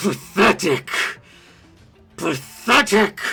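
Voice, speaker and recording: A man's put-on character voice, high-pitched and growling, with faint music in the background. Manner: growling, menacing.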